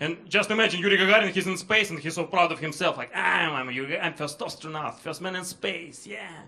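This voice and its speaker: With a Russian accent, a man talks at a fairly quick pace and ordinary pitch variation. Noticeable background noise runs underneath. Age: 30s. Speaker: comedian. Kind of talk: stand-up. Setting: stage with audience.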